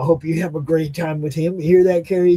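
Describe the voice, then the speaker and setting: A man has a fairly high pitch and a dark, mellow tone. His intonation stays fairly even. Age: 60s. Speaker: guest host of live talk show. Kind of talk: casual chat. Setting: live stream show.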